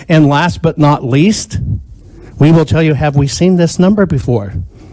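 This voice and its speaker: Words come at a fairly quick pace over noticeable background noise. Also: man. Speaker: inventor and pattern recognition expert testifying at hearing. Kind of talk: testimony. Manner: loud; emphatic.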